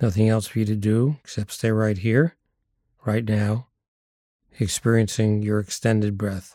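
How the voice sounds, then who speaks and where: With a dark, mellow, gentle tone, a man speaks with long, frequent pauses in a very clean recording with a silent background. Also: fairly low pitch for a man, fairly even intonation. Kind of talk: guided meditation. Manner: slow, gentle, hushed, with pauses.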